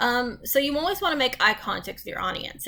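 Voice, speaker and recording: A woman speaks at a fairly quick pace. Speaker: college instructor. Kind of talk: recorded lecture. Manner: halting, stumbling over words; conversational, frequent ums.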